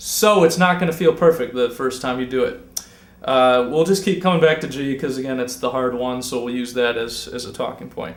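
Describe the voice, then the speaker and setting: Amid noticeable background noise, a man talks at a fairly quick pace with medium pitch and ordinary pitch variation. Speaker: guitar teacher. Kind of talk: tutorial. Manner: casual.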